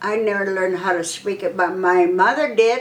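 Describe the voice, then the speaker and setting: Audible room echo surrounds the voice of a woman speaking. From US Southwest, Arizona/New Mexico. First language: Spanish. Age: 80s+. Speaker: oral history interviewee. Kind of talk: oral history interview. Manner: halting.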